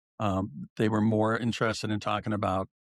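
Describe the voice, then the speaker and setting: A man with an American accent speaks in a fairly low voice with fairly even intonation. The sound is dry and close with no echo, and the recording is very clean with a silent background. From northern Colorado. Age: 60s. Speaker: commercial real estate broker, former touring crew. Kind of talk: podcast interview. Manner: halting, many fillers and repeats.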